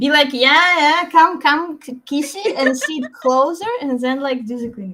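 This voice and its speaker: Speaking at a fairly slow pace with hardly any pauses, a woman uses a raised, projected voice at a high pitch, with lively intonation and big swings in loudness. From Ukraine. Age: 20s. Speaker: psychologist and youth worker. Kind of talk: casual chat.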